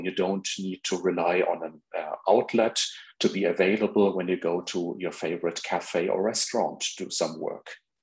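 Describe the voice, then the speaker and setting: The speech runs with hardly any pauses over a quiet background. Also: man. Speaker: presenter. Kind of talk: lecture. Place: home room.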